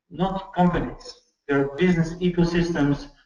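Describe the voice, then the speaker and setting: A man's fairly even intonation with audible room echo. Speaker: lecturer on commons and peer production. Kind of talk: lecture. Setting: video call. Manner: fast.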